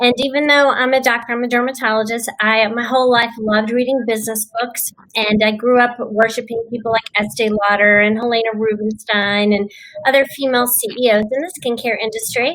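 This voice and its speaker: Here a woman talks in a Texan accent at a fairly high pitch. Her pace is fairly quick and her intonation fairly even. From Texas. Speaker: dermatologist and business owner. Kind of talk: panel discussion.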